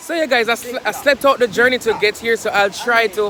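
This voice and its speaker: Over noticeable background noise, a man with a Jamaican accent speaks in an extremely high pitch. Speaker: vlogger. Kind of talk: casual vlog chat. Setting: outdoors by the seaside.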